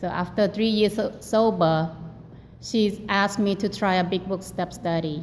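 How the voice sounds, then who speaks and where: Audible room echo surrounds a woman speaking with a non-native accent. Her pitch is medium and her intonation fairly even. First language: not English. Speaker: recovery group member sharing. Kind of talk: testimony. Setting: meeting hall. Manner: halting.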